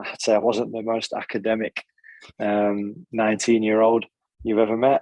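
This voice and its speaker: With a Nottingham accent, a man speaks at medium pitch and a moderate pace in monotone, flat intonation, recorded in a dry, close sound with no echo. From Nottingham, England (born in Italy). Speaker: football goalkeeping coach. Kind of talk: podcast interview.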